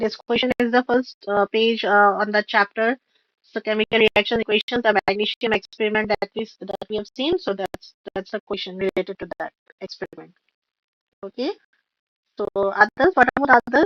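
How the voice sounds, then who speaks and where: Speaking at a moderate pace, a woman with a fairly high pitch and ordinary pitch variation talks in an Indian accent. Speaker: online tutor. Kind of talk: live online revision class. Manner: halting, many fillers. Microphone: voice cracking on stream.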